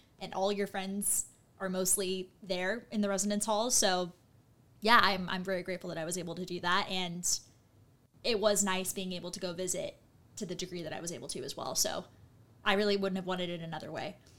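A woman with an American accent, medium in pitch, flat and monotone in intonation, bright and sharp in tone, at a fairly quick pace. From Southern California, Costa Mesa. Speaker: graduate student. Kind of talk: casual chat.

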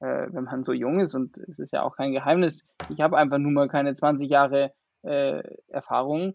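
A man's fairly high voice with fairly even intonation, at a moderate pace. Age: 20s. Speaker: vaccination centre manager. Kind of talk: interview.

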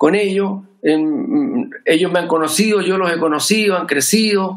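A man with a Chilean accent speaks in a high voice with lively intonation. His pace is fairly slow. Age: 50s. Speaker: musician. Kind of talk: casual chat. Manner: calm and measured.

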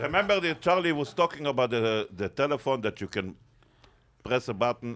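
Speaking fairly quickly in an Israeli accent, a man with a medium-pitched voice moves through very wide pitch swings. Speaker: cab driver. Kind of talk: casual banter.

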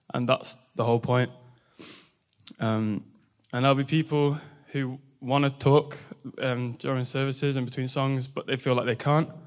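Speaking with an English accent, a man at medium pitch delivers monotone, flat intonation broken by long, frequent pauses. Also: moderate pace. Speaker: university student. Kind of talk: testimony. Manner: halting.

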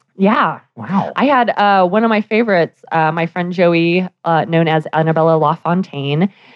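A woman with a General American accent and a fairly low pitch talks at a moderate pace with hardly any pauses. Her pitch varies in an ordinary way, and she has an unremarkable speaking voice. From Denver, Colorado, US. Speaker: burlesque performer and author. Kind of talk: casual interview. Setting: live radio studio at press club.

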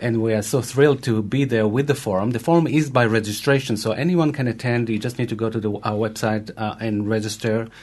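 A man talks at a very fast pace with hardly any pauses. His pitch is medium and varies in an ordinary way. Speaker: film festival director. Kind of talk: interview. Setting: studio. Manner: passionate.

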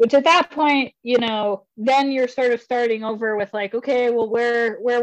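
High-pitched woman at a fairly slow pace with fairly even intonation and hardly any pauses. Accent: American. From northern Idaho. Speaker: moped rider. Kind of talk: casual chat. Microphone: connection glitchy.

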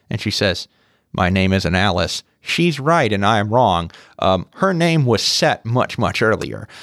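With very wide pitch swings, a man speaks at a fairly low pitch in a very clean recording with a silent background and a dry, close sound with no echo. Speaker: museum scientist. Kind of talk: educational chat.

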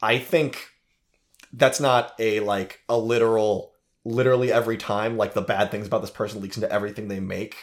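A man with an American accent talks at a fairly quick pace in an ordinary speaking voice, medium in pitch with fairly even intonation. The recording is very clean, with a silent background. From United States. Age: 20s. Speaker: movie podcast host. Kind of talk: casual chat.

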